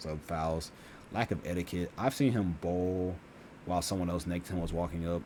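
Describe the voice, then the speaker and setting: The voice moves at a fairly quick pace and has a dark, mellow tone. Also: man. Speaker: YouTuber. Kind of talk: casual vlog monologue. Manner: fast.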